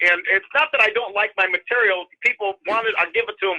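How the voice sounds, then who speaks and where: Speaking at a moderate pace in a raised, projected voice, a man with a high pitch has a bright, sharp tone in a dry, close sound with no echo. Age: 60s. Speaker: comedian. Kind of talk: casual chat. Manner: halting, many repeated words.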